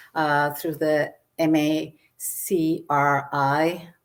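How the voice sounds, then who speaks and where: A woman with an American accent and a very deep, low pitch, on a very clean recording with a silent background. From Arizona, Tucson. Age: 60s. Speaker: author and historian. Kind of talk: presentation talk. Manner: halting, many fillers.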